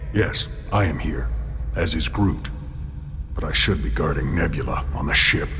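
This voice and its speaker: Loud background noise sits behind a cartoonish character voice delivered at a moderate pace. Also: man. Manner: formal, stiff, no contractions.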